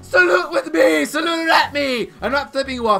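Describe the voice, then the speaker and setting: Faint music plays behind a man who talks at a moderate pace in a raised, projected voice. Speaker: let's play commentator. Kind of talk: gaming commentary, video outro.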